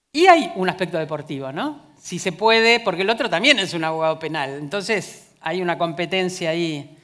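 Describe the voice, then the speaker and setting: In a normal speaking voice, a woman with fairly low pitch talks at a moderate pace with lively intonation and hardly any pauses over a quiet background. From Argentina. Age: 60s. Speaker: philosopher and gender justice official; conference speaker. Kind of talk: conference talk. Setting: stage with audience. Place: stage. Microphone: headset.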